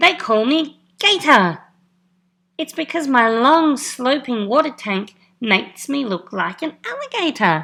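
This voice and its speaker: On a very clean recording with a silent background, a woman speaks fairly slowly in a high-pitched, put-on character voice. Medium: read story. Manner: calm, friendly.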